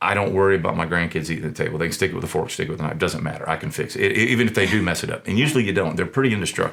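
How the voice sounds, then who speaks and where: Against noticeable background noise, a man with a Southern US accent speaks very fast with hardly any pauses, a very deep, low pitch and lively intonation. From US South. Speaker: small business owner, furniture maker. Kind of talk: interview. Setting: studio. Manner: halting, with many fillers and repetitions.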